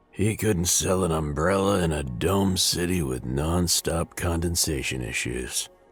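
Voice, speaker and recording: Against music in the background, a man with a very deep, low pitch speaks at a fairly slow pace in a weary tone with lively intonation. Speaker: game narrator character. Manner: world-weary, sardonic narration.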